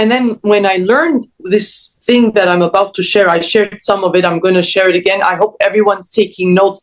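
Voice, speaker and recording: The speaker has an animated tone and a fairly quick pace, with ordinary pitch variation. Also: woman. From Canada, Toronto. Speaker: mindset coach. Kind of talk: interview.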